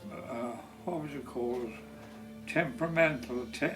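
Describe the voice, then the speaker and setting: A man speaks with an Irish accent at a fairly slow pace. His pitch varies in an ordinary way, with music in the background. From Ireland. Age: 80s+. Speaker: war veteran. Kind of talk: interview answer.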